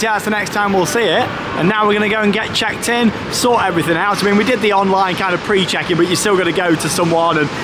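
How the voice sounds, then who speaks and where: Through noticeable background noise, a man talks at a very fast pace with ordinary pitch variation. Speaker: travel vlogger. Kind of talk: casual vlog chat. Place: station. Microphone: phone near.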